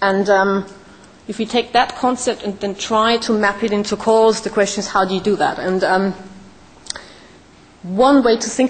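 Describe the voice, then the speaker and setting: Speaking at a fairly slow pace with a non-native accent, a woman has a medium pitch. Her pitch varies in an ordinary way, and noticeable background noise is present. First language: not English. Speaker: startup founder, conference speaker. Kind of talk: conference talk.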